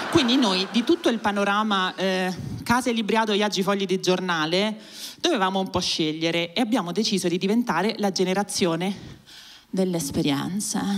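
A woman talks at a moderate pace with very even loudness and ordinary pitch variation. The background is quiet. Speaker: stand-up comedian. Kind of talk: stand-up comedy, generational satire. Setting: stage with audience. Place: stage. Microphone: handheld.

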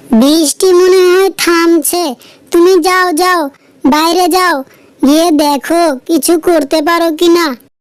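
A woman puts on a squeaky, cartoonish character voice at an extremely high pitch, speaking very slowly with fairly even intonation. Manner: soothing, practical.

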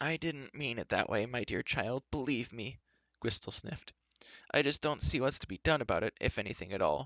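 Against a quiet background, someone is reading aloud in a natural voice.

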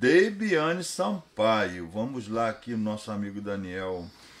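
This man has a plain, everyday voice at a medium pitch with lively intonation. He speaks at a fairly slow pace. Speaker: podcast host. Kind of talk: casual chat. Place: studio. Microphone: studio mic.

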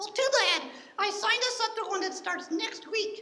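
A man puts on a character voice at an extremely high pitch, keeping a moderate pace.

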